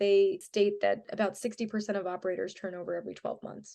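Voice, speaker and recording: A woman talks at a fairly quick pace. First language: Kannada. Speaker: tech startup CEO. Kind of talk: podcast interview.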